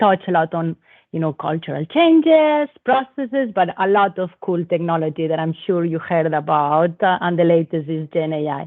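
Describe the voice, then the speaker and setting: Lively intonation and a moderate pace come through in a Spanish accent. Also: woman. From Spain. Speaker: telecom operations manager. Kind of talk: panel talk. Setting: live event with audience.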